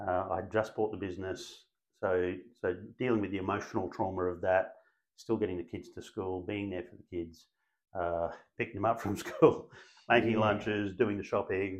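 In an Australian accent, a man speaks at a moderate pace with a fairly low pitch and monotone, flat intonation. His loudness swings widely against a quiet background. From Brisbane, Australia. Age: 50s. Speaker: real estate agency principal. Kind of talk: interview.

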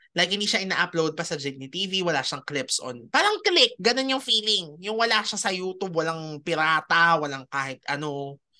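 Nothing much is heard behind the words, which come at a moderate speed. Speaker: podcast host. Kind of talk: casual chat.

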